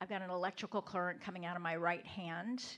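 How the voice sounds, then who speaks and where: A woman is speaking. Her pitch is medium. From New Orleans. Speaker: business coach, keynote speaker. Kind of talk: live interactive keynote with audience member. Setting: stage with audience.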